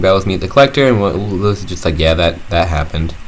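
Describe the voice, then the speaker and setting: A man with a fairly low voice speaks while background noise is clearly heard. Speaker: YouTuber reviewing a cartoon episode. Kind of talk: casual video review. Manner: halting, with fillers and restarts.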